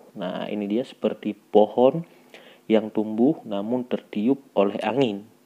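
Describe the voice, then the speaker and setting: Here a man speaks in a dark, mellow tone. His pitch variation is ordinary. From Aceh, Indonesia. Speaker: gemstone polisher, YouTuber. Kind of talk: tutorial with commentary. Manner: animated.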